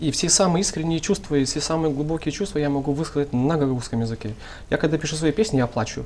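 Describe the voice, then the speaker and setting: The speaker talks at a very fast pace in a Moldovan accent. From Gagauzia, Moldova. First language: Gagauz (speaking Russian). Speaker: rap artist, musician. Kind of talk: talk show discussion.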